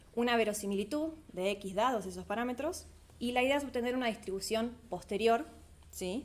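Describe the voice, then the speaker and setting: Ordinary pitch variation at a fairly slow pace. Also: woman. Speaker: PhD student workshop presenter. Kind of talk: lecture.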